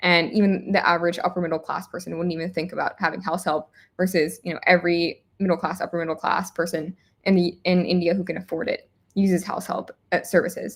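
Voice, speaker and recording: A woman with an American accent, very fast pace, fairly low pitch, monotone, flat intonation, on a very clean recording with a silent background. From United States. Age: 20s. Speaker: startup founder. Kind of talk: interview.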